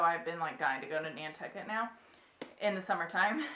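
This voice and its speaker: With audible room echo and noticeable background noise, a woman talks with ordinary pitch variation. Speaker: book vlogger. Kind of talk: casual chat. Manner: chatty.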